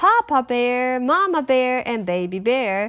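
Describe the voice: Her pitch is high for a woman and moves in big swings.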